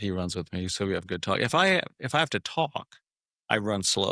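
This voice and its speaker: With an American accent and a bright, sharp tone, a man talks at a moderate pace in a very clean recording that is dry and close with no echo and has a silent background. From US Midwest, Omaha, Nebraska. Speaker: men's fitness group member. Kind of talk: podcast interview.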